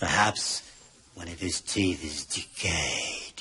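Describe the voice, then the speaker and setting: A man does a put-on character voice that is raspy and very deep, pitched very low. He talks at a very slow pace. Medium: short film. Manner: formal, calm, deadpan.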